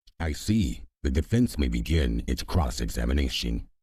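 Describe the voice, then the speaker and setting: A man uses a put-on character voice, pitched very deep and low. His intonation is lively and his pace moderate. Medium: game stream. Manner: formal, ruling.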